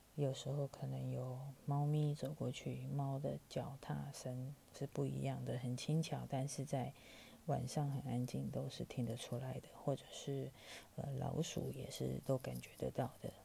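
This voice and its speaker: A woman at a fairly slow pace, with a Taiwanese accent. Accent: Taiwanese Mandarin. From Taiwan, Taipei. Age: 40s. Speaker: podcast host. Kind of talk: storytelling. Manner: casual with many fillers.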